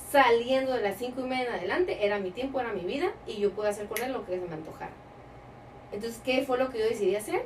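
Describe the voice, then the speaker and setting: Noticeable background noise sits behind a woman who talks at a very fast pace with a fairly high pitch and lively intonation. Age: 30s. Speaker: entrepreneur. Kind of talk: interview.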